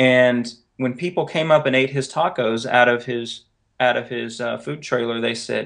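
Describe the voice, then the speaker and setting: Here a man speaks with a Southern US accent at a medium pitch. He talks at a fairly slow pace with ordinary pitch variation. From North Carolina. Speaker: author and editor. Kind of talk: interview.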